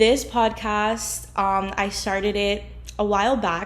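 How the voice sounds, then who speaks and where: Audible room echo trails the woman's voice as she talks. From New Jersey (North Bergen), Cuban-American. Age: 20s. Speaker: podcast host. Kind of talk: casual chat.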